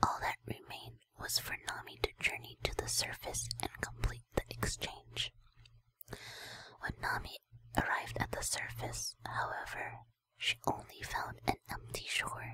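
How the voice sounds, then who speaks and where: A woman whispers at a fairly slow pace. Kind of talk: ASMR lore reading. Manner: whispered.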